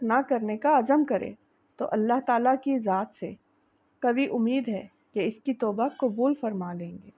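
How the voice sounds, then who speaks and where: The woman's pitch is high. The background is quiet. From Pakistan. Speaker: voice-over artist. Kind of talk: religious narration.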